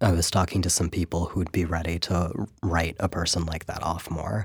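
Against a very clean, silent background, a man with an American accent talks at a moderate pace in a very deep, low, somewhat breathy voice and a flat monotone. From San Francisco Bay Area, US. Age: 20s. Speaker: writer. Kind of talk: interview. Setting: studio.

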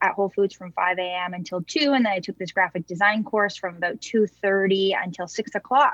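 With an unremarkable speaking voice, a woman talks at a moderate pace and medium pitch. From small-town Ontario, Canada. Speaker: food company founder. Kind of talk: interview.

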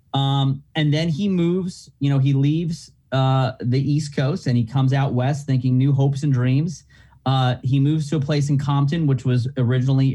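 At a moderate pace, a man talks at a fairly high pitch in a somewhat breathy, dark, mellow tone with fairly even intonation. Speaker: actor. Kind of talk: casual interview chat. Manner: casual, rambling, halting.

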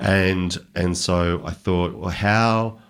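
Very deep and low, a man's voice carries an Australian accent and ordinary pitch variation. The recording is very clean, with a silent background. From country Victoria, Australia. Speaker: country music singer-songwriter. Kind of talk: casual chat.

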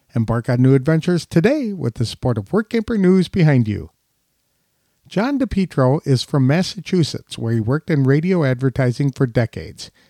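An ordinary speaking voice, a man's, fairly high in pitch with lively intonation at a fairly quick pace, in a very clean recording with a silent background and a dry, close sound with no echo. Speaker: podcast interviewer. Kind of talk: scripted intro and interview.

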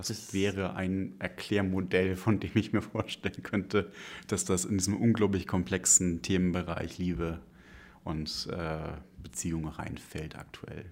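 Fairly slow and fairly even in intonation, a man talks with a very deep, low pitch. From northern Germany, near Hamburg. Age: 30s. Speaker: single guest, IT knowledge manager. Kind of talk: casual interview. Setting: studio, face to face. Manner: hesitant, many fillers.

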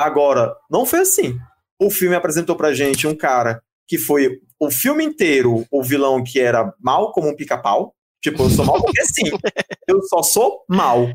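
A man's fairly high, unremarkable speaking voice, fairly slow in pace, with lively intonation and very even loudness. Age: 40s. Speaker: journalist and podcast host. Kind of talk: casual chat.

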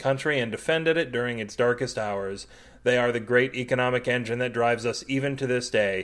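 This is someone reading aloud in a natural voice. The intonation is fairly even.

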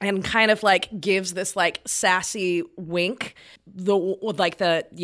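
Fairly even intonation in a natural reading voice

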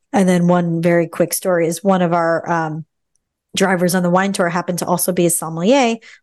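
Against a quiet background, a woman with a fairly low pitch speaks in a normal speaking voice at a fairly quick pace, her intonation fairly even. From New York City, Staten Island. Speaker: journalist and editor. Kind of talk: casual chat.

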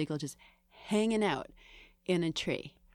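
A woman in an American accent uses an ordinary speaking voice with ordinary pitch variation on a very clean recording with a silent background. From Greater Boston, Massachusetts. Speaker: film critic. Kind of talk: casual chat. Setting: studio.

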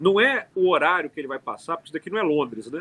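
Close and dry with no echo, the sound carries a bright, sharp tone. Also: man. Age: 30s. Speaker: city councillor. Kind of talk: casual interview.

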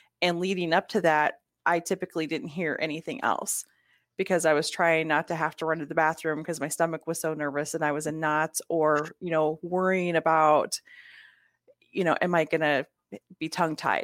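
The voice is flat and monotone at a moderate pace, with a dry, close sound, no echo and a very clean recording against a silent background. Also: woman, fairly low pitch for a woman. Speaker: business networking guest. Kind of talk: casual interview. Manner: soft-spoken.

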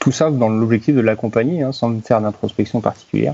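A man talks with a dark, mellow tone and fairly even intonation. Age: 30s. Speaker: HR company director. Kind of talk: interview. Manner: halting, frequent repetitions.

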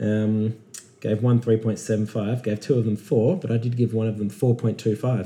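Talking at a fairly slow pace, a man with an Australian accent sounds somewhat breathy, his tone dark and mellow. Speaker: podcast host. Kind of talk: casual chat.

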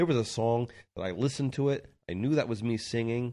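A man's dark, mellow voice in an American accent, fairly quick in pace, against a quiet background. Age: 40s. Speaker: touring rock musician. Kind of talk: casual interview.

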